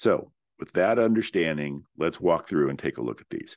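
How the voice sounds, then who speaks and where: A man speaks with lively intonation, his voice showing vocal fry. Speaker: real estate investment company founder, podcast host. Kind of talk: solo educational talk.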